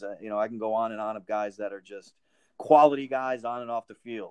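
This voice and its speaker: A man with an American accent speaks at a fairly quick pace. His voice is an unremarkable speaking voice, medium in pitch. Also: dry, close sound with no echo. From Connecticut, Winsted. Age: 50s. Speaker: football players' union manager. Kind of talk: interview.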